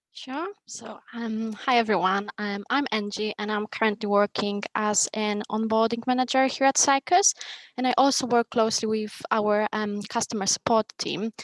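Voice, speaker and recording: A woman with a Polish accent speaks at a moderate pace with fairly even intonation and hardly any pauses, in a dry, close sound with no echo. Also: fairly high pitch for a woman. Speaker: onboarding manager. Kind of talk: conference panel talk. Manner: halting, many fillers.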